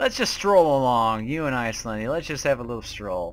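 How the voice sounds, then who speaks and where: The man here talks at a fairly quick pace. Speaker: gaming YouTuber. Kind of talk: gameplay commentary, horror game reactions. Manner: animated, excitable, joking.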